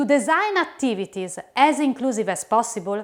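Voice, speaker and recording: A woman with an Italian accent speaks in a high voice that makes very wide pitch swings. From Italy. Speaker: educator / instructional designer. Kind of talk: lecture. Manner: formal.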